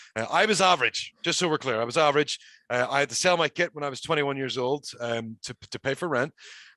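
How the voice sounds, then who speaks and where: In a Northern Irish accent, a man talks very fast in a fairly high, bright, sharp voice with a dry, close sound and no echo. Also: ordinary pitch variation. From Northern Ireland. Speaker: professional wrestler. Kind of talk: casual chat.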